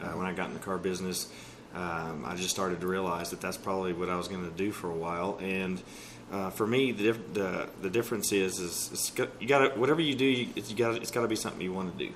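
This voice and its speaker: A man's very deep, low voice with a Texas accent, delivered at a very fast pace, with ordinary pitch variation and audible room echo. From East Texas (Texarkana). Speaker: car dealership sales manager. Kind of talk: interview.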